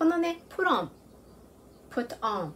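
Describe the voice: A woman talks at a moderate pace with big pitch swings.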